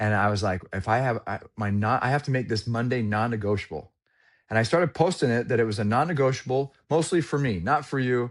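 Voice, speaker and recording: The voice sounds animated and moves at a fairly quick pace against a quiet background. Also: man, medium pitch for a man, ordinary pitch variation. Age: 40s. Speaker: sales trainer. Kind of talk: casual chat.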